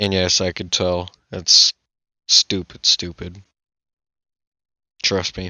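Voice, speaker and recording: A man speaks at a very slow pace with long, frequent pauses. His very deep, low voice stays monotone and flat. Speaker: gaming video creator. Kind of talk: gameplay commentary. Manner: loud; halting.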